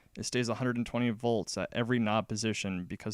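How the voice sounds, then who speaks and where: A man's fairly low, vocal-fry voice at a fairly quick pace, in a very clean recording with a silent background and a dry, close sound with no echo. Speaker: electronics hobbyist, recent graduate. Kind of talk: technical explanation over pictures. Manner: monotone.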